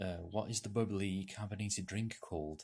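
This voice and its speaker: This man speaks in a North Welsh accent. His intonation is fairly even. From North Wales. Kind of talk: casual talk to camera.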